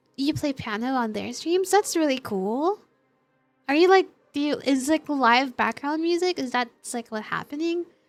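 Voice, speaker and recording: A woman speaks with a high pitch and lively intonation. Music plays in the background. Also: moderate pace. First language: not English. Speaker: streamer. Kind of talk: casual chat. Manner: animated.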